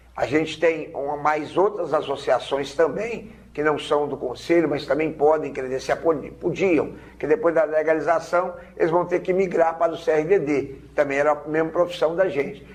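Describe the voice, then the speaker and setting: A man's fairly high voice at a moderate pace, with fairly even intonation, hardly any pauses, and noticeable background noise. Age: 60s. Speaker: vehicle documentation agent. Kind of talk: TV interview.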